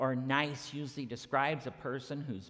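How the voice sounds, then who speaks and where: Quiet surroundings and a man's fairly slow delivery. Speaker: minister. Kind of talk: sermon. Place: church.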